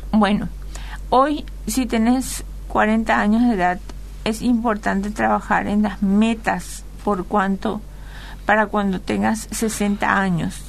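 Very slow and full of long, frequent pauses, a woman's speech holds a very even loudness amid audible room echo. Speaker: financial advisor. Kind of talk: radio interview.

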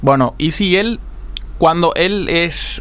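A man's voice over noticeable background noise. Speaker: radio co-host, sports segment. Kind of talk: sports news and story on radio.

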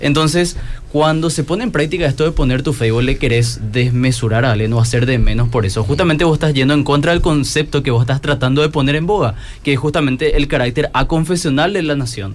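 Very fast speech from a man with a fairly high pitch, very even loudness and ordinary pitch variation, over noticeable background noise. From Paraguay. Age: 20s. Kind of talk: panel discussion.

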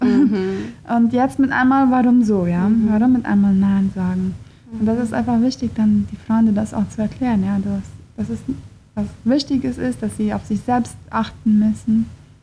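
At a moderate pace, a woman with a fairly high, somewhat breathy voice and a dark, mellow tone speaks with ordinary pitch variation. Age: 20s. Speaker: psychologist. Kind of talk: interview.

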